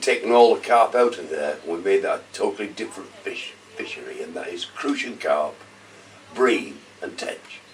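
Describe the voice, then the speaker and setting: Moderate-paced speech with big swings in loudness and noticeable background noise. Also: man. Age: 70s. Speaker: fishery owner. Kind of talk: casual interview.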